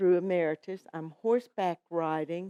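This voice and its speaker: Very slowly and with fairly even intonation, a woman with a slight North Carolina accent speaks in a medium pitch with a dark, mellow tone, the sound dry and close with no echo. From North Carolina, US South. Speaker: guest co-host, retiree. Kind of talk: casual interview chat.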